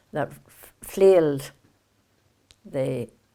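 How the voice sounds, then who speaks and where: A woman's very deep, low pitch with lively intonation, on a very clean recording with a silent background. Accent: Northern Irish. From Kilkeel, Northern Ireland. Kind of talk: oral history interview answer.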